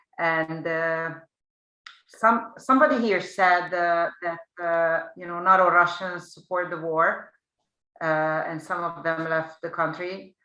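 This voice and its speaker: A woman with a Hungarian accent speaks at a very slow pace and fairly low pitch, her bright, sharp tone holding fairly even intonation amid big swings in loudness. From Hungary. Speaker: panel moderator, PR agency head. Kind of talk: panel moderation.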